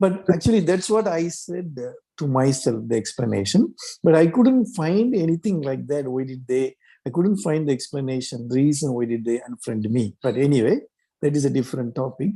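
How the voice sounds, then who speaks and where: A man with a Tamil accent speaks at a moderate pace in a dark, mellow tone. His pitch is fairly high, and his intonation is lively. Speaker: mental health writer. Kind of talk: group discussion. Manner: halting, many fillers.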